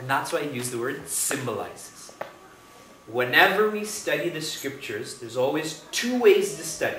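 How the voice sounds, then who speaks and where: Here a man with a fairly high pitch swings very widely in pitch and shows big swings in loudness. The room echo is audible, and background noise is noticeable. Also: moderate pace. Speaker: spiritual teacher. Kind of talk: spiritual discourse. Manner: conversational, engages audience with questions.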